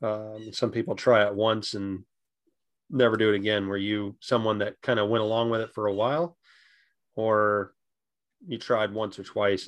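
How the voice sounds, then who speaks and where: Against a quiet background, a man with an unremarkable speaking voice talks at a moderate pace, his pitch fairly low and his intonation fairly even. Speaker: podcast host interviewing his father. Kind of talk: interview for a family-history podcast, with scripted intro.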